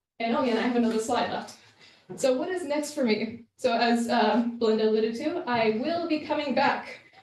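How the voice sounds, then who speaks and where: A woman speaks with an American accent and ordinary pitch variation. Audible room echo surrounds her voice. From US Northeast, Massachusetts. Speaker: Fulbright student fellow presenting research. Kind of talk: presentation. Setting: room with live audience. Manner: fast; hesitant, many fillers.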